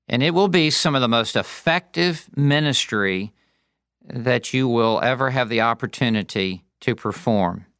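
Lively intonation marks this man's medium-pitched delivery, which holds a very even loudness. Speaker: pastor and preaching teacher. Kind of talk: lecture. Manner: demonstrative and passionate when preaching.

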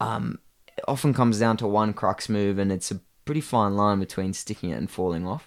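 In a very clean recording with a silent background, a man with an Australian accent talks at a fairly quick pace, with a fairly low pitch and ordinary pitch variation. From Australia, Blue Mountains NSW. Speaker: rock climber. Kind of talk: casual chat.

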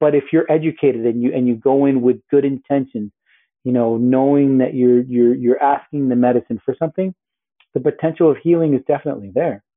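A man with an ordinary speaking voice and an American accent, medium pitch, fairly even intonation, very even loudness and a fairly quick pace. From US Northeast and Miami, Colombian family. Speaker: apparel entrepreneur, former news journalist. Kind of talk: interview conversation.

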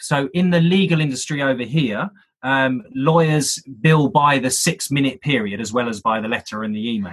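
Delivered with a British accent, the speech moves at a moderate pace with lively intonation. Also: man, medium pitch for a man. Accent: British, UK. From UK. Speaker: sales trainer, speaker. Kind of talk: interview, casual chat. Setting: remote call.

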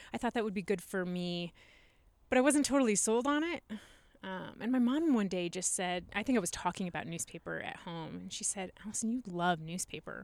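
A woman's ordinary speaking voice with an American accent, medium pitch, lively intonation and a fairly quick pace. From US Midwest, Nebraska. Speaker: copy editor. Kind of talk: casual chat.

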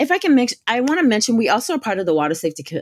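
A woman talks at a very fast pace with lively intonation, recorded dry and close with no echo. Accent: American. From US South, northwest Florida Gulf Coast. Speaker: community outreach director and surf and climbing instructor. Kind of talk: podcast interview.

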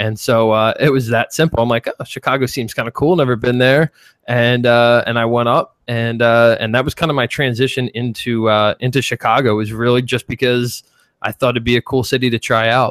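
This man talks at a fairly quick pace with a Philadelphia accent, his pitch medium and his intonation monotone and flat. The sound is dry and close, with no echo. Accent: Philly. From US Northeast, Philadelphia. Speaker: 3D artist and animation instructor. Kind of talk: casual interview chat.

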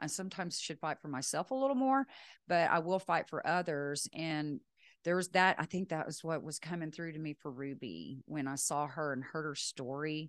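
A woman's very deep, low voice in a Texan accent, moderate pace and ordinary pitch variation, against a quiet background. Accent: Texan American. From West Texas. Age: 50s. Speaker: retired film producer. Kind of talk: casual interview chat. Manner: talkative.

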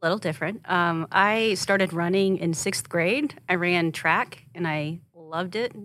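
A woman with an American accent has an unremarkable speaking voice at a fairly low pitch, talking at a fairly slow pace with ordinary pitch variation and hardly any pauses. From Oklahoma, Rush Springs. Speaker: TV news anchor. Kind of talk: casual interview chat.

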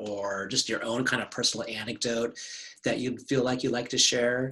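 Noticeable background noise surrounds a man with an American accent who talks fairly quickly at a medium pitch. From Santa Barbara, California. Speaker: library podcast host. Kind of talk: casual interview. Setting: video call.

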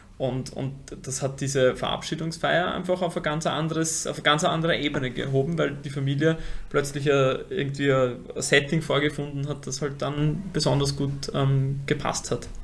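With noticeable background noise behind him, a man speaks in a fairly high, flat monotone at a moderate pace. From Vienna, Austria. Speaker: funeral company co-founder. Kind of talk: interview. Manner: halting, repeats words.

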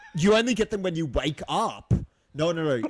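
An animated man with an Australian accent, fairly quick, with very wide pitch swings. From Australia, small country town. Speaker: podcast co-host. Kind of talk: casual chat.

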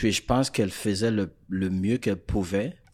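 On a very clean recording with a silent background, a man with a fairly low pitch talks at a moderate pace. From Florida, Haitian family. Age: young. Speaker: life coach. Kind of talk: interview. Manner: frequent French-English code-switching; halting, repeats words.

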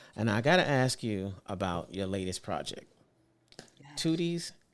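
With a New York accent, a man talks at a fairly slow pace, his fairly low pitch shaped by lively intonation. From Brooklyn, New York. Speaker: podcast host. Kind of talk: interview.

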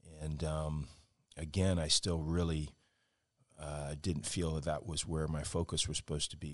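Here a man speaks at a very deep, low pitch. His pace is fairly slow. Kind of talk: interview. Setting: hotel room.

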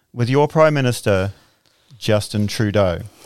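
Lively intonation marks a man's unremarkable speaking voice at a moderate pace on a very clean recording with a silent background. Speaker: podcast host. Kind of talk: casual interview. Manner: joking, bantering.

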